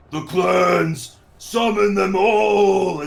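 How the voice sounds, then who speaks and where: A man puts on a character voice at a high pitch. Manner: screaming, commanding.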